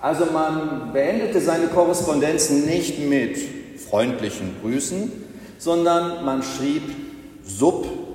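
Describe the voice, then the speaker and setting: Over noticeable background noise, a man speaks very slowly in a fairly high voice. His intonation is lively, and he takes long, frequent pauses. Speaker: pastor. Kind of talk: sermon in church, delivered to the congregation with a rhetorical build-up. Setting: church.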